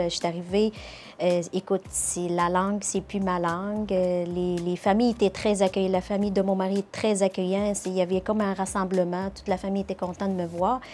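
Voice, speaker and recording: With a Charlevoix accent, a woman of medium pitch speaks in a dark, mellow tone at a moderate pace, her intonation monotone and flat, in a very clean recording with a silent background. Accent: Québécois (Charlevoix). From Morocco. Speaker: nurse. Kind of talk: interview.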